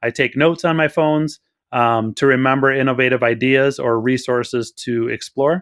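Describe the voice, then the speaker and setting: A man talks with fairly even intonation. The sound is dry and close with no echo, over a quiet background. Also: medium pitch for a man. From Wisconsin. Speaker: school district curriculum director. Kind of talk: podcast interview. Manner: fast.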